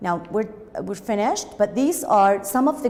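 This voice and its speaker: The intonation is lively. Noticeable background noise and audible room echo are present. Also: woman. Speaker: English teacher. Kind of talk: lecture. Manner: halting.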